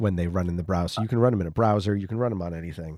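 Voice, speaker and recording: Soft-spoken and very deep in pitch, a man speaks with ordinary pitch variation and a dark, mellow tone on a very clean recording with a silent background. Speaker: podcast host. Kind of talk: casual chat. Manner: quiet, soft-spoken to save his voice.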